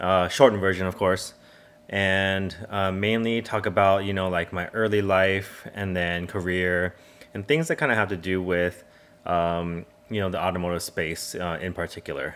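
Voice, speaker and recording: The speaker has a Californian accent and keeps a moderate pace. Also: man, very deep, low pitch for a man. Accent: Californian American English. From Southern California (San Diego). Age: 40s. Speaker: automotive YouTuber. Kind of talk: casual personal monologue. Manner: casual, many fillers.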